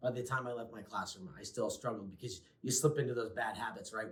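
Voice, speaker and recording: This is a man speaking at a medium pitch. His pitch varies in an ordinary way. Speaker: former teacher, behavior specialist. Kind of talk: casual conversational reflection. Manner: loud.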